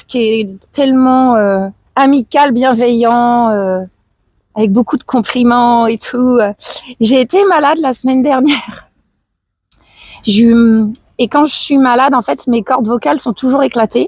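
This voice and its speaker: A woman's high-pitched voice in a dry, close sound with no echo, fairly slow in pace, very even in loudness, broken by long, frequent pauses, with ordinary pitch variation. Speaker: live streamer. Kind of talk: casual chat. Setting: outdoors. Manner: halting.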